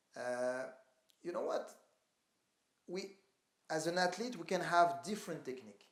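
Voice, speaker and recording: Speech moves at a moderate pace, broken by long, frequent pauses. Audible echo hangs in the room. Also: man, high pitch for a man, ordinary pitch variation. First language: not English. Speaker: calisthenics athlete. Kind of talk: interview. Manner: halting.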